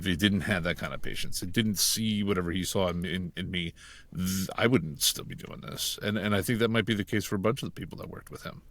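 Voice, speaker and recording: Speaking at a very fast pace, a man with a very deep, low pitch shows ordinary pitch variation and big swings in loudness in a very clean recording with a silent background. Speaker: voice actor. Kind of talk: podcast interview.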